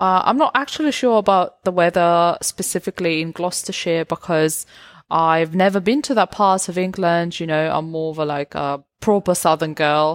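A woman with an unremarkable speaking voice, fairly low in pitch and with ordinary pitch variation. The sound is dry and close, with no echo. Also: moderate pace. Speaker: English teacher and podcast host. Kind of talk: casual interview chat. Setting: in person, recorded in Melbourne.

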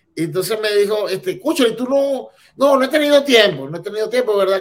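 A man talks at a fairly quick pace. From Venezuela, Barquisimeto. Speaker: immigrant entrepreneur. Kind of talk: casual interview. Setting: video call.

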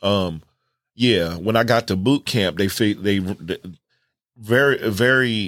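Speaking at a fairly slow pace with long, frequent pauses, a man uses a fairly low pitch and ordinary pitch variation in a very clean recording with a silent background. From New Jersey, then North Carolina. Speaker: artist, graphic designer and Marine veteran. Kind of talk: casual interview.

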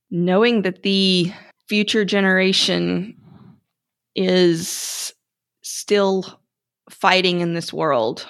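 A woman speaks very slowly, with long pauses coming often. The recording is very clean, with a silent background. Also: medium pitch for a woman, ordinary pitch variation. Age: 40s. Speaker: educator and author. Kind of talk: interview conversation.

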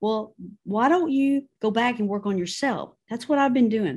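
A woman's fairly high voice with a slightly mellow tone at a moderate pace.

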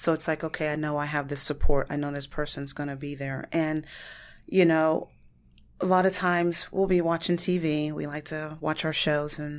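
Speaking with an American accent, a woman delivers a flat monotone at a very deep, low pitch and a moderate pace on a very clean recording with a silent background. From US Midwest, Warren, Ohio. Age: 40s. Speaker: small business owner, baker. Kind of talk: podcast interview.

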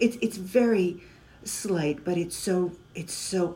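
Very slowly, a woman speaks at a fairly low pitch. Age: 50s. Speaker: patient. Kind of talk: interview.

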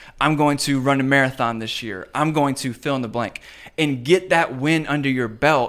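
In a very clean recording with a silent background, a man with a normal speaking voice talks at a moderate pace and a fairly high pitch. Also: ordinary pitch variation. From Richmond, Virginia. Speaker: pastor. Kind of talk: casual interview chat.

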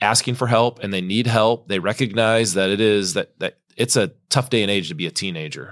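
A plain, everyday voice at a moderate pace, fairly even in intonation, with a dry, close sound with no echo and a very clean recording over a silent background. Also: man. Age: 40s. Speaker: youth ministry leader. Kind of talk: casual interview.

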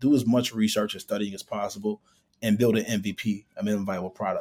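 A man talks with a Chicago accent. His pace is very fast. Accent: Chicago American. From Chicago, US Midwest. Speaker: startup founder and CEO. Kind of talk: interview.

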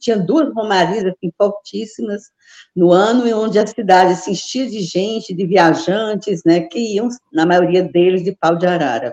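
A woman at medium pitch with a dark, mellow tone, ordinary pitch variation and a moderate pace, in a dry, close sound with no echo. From Brazil, Ceará (Juazeiro do Norte). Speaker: retired backpacker traveler. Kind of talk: interview.

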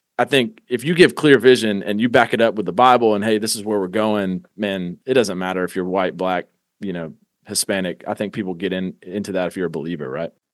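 At a fairly quick pace, a man with an unremarkable speaking voice speaks at a fairly low pitch with ordinary pitch variation. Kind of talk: casual chat.

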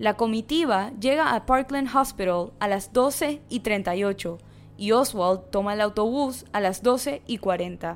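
At a very slow pace, a woman speaks in a fairly high voice with a solemn tone. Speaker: podcast narrator. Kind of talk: dramatic narration of a true-crime story, read in a serious, storytelling tone. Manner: solemn, measured, suspenseful pacing; steady, formal, even delivery.

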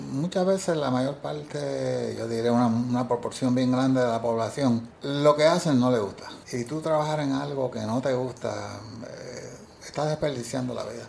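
A man with a Puerto Rican accent, medium pitch, moderate pace and ordinary pitch variation, over noticeable background noise. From Puerto Rico, Ciales. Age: 70s. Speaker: retiree working part-time. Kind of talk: interview. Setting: office.

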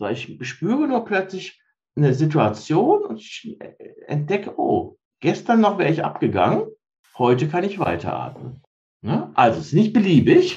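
Pausing often and at length, a man talks at a moderate speed. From Rhineland, Germany (Cologne-Bonn area). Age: 50s. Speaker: mindfulness trainer. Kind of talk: interview.

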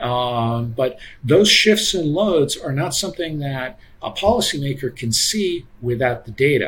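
Noticeable background noise sits behind a man with a fairly high pitch. He talks at a fairly slow pace with lively intonation. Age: 50s. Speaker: energy economist. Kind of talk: casual interview.

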